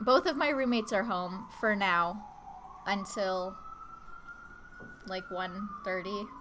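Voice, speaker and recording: Amid noticeable background noise and audible room echo, a woman at medium pitch speaks at a very slow pace. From Canada. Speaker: guest artist on a live stream. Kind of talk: casual live-stream chat while drawing. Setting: home, roommates present. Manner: casual, with fillers and self-corrections.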